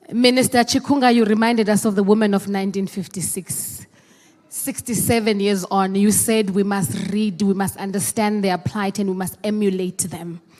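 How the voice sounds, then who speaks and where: A woman speaks at a moderate pace in a South African accent. Her tone is animated and her pitch sits in the middle range. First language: Xhosa. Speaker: program director at a meeting. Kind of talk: formal address at a meeting. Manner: animated, rhetorical.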